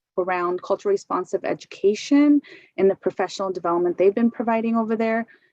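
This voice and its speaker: In a plain, everyday voice, a woman with an American accent speaks at a fairly quick pace, her pitch fairly high and her intonation lively. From US Pacific Northwest. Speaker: education consultant. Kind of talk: work presentation.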